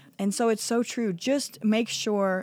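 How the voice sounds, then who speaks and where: Speaking with a US Midwestern accent, the voice shows ordinary pitch variation. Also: woman, very clean recording, silent background. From Iowa, small town. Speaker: gym owner. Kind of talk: interview. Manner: halting, many fillers.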